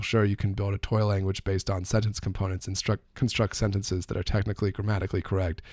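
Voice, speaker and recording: A somewhat breathy man at a fairly low pitch, talking at a very fast pace in monotone, flat intonation. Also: very clean recording, silent background. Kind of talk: casual explanatory talk to camera.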